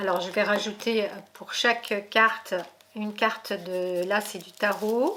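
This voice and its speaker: A woman talks at a very slow pace, keeping her intonation fairly even. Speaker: tarot reader. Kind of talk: tarot reading video. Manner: hesitant, many fillers.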